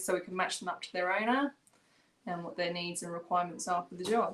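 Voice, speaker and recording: A woman with an English accent, medium in pitch, at a fairly quick pace. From England. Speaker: dog breeder and trainer. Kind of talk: casual interview.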